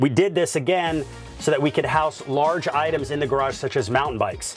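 A man is talking. There is faint music in the background. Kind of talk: product tour walkthrough. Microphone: lapel.

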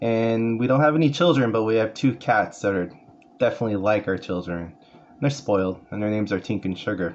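A man with a Californian accent, medium pitch, fairly quick pace and ordinary pitch variation, over light background noise. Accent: Californian American English. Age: 40s. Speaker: paraeducator and community college student. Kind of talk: class self-introduction speech. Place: home room. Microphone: phone near.

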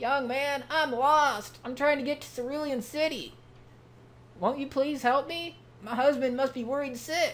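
A man does a put-on character voice at an extremely high pitch. He speaks at a moderate pace over clear background noise. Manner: pleading, worried.

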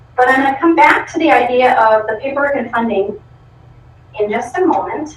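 A woman with an American accent, high-pitched and lively in intonation, amid audible room echo and noticeable background noise. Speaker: school program coordinator. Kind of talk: presentation to school board. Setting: school board meeting.

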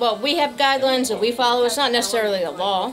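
Clear music plays in the background. A woman speaks with ordinary pitch variation. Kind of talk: interview answer. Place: shop. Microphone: handheld.

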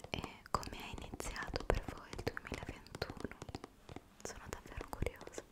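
Whispering at a moderate pace, a woman leaves long, frequent pauses, her loudness swinging widely. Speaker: ASMR creator. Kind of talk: ASMR whispered chat to camera. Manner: whispered, soft-spoken. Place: home room. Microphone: studio mic.

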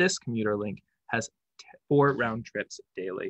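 A male voice with ordinary pitch variation, a dry sound with no echo, and a quiet background. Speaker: presenter. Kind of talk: presentation. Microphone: webcam.

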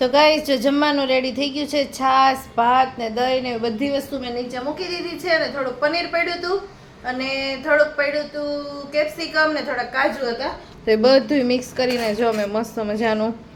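A woman's high-pitched voice with ordinary pitch variation, audible room echo and noticeable background noise. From Gujarat, Amreli district. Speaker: family vlogger. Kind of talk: casual vlog narration.

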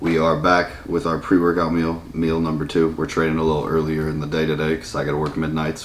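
Over light background noise, a man with a very deep, low voice talks at a fairly quick pace. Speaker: bodybuilder vlogger. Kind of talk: casual vlog chat. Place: home room. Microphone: camera far.

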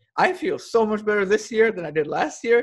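A man with lively intonation at a moderate pace, against a quiet background. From Sweden. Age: 20s. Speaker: YouTuber. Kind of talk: interview. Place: home room. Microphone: earbuds.

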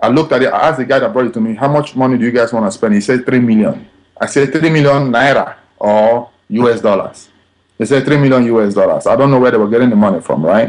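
A man with a Nigerian accent talks at a very fast pace. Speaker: film director. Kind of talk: interview answer.

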